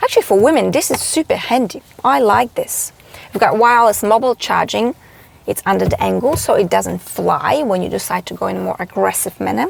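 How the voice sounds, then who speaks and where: With a non-native accent, a woman talks at a fairly quick pace. Noticeable background noise sits behind a dry, close sound with no echo. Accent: foreign accent, self-described as bushy. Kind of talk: car review vlog. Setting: in a car. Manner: animated.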